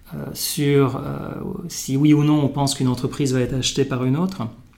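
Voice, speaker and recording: With fairly even intonation, the words come out at a moderate pace. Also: man. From Morocco. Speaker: venture capital investor. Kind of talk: interview. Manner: halting, many fillers.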